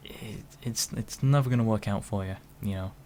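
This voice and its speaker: With a British accent, a man talks using ordinary pitch variation. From United Kingdom. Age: 20s. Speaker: vlogger. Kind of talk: opinion monologue. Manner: slow; halting.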